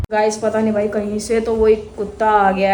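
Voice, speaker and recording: Noticeable noise runs behind the recording. A woman talks at a medium pitch. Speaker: vlogger. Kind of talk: casual vlog narration.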